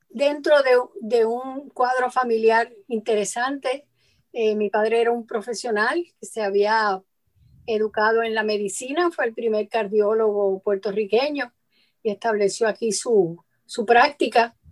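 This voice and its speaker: A woman with a fairly high pitch delivers her words very slowly. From Puerto Rico. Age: 70s. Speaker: lawyer and feminist advocate. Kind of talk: radio interview. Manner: halting, many fillers.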